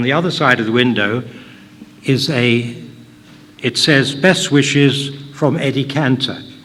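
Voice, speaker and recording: Through noticeable background noise and audible room echo, a man speaks at a moderate pace and medium pitch with ordinary pitch variation. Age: 80s+. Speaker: hotelier and local history speaker. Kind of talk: public talk. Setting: hall with live audience. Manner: conversational, halting.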